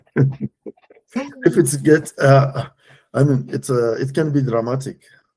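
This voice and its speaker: A man with a West African accent speaks at a very slow pace in a dark, mellow tone. His pitch sits fairly high, his voice is somewhat breathy, and his intonation stays fairly even. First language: French. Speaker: executive coach and risk consultant. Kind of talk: interview. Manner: halting.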